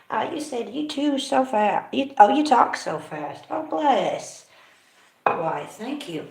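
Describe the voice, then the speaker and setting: With audible room echo, a woman speaks in an American accent, her pitch swinging very widely. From California, USA. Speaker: live streamer and music maker. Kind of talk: casual live stream chat. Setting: at home during live stream.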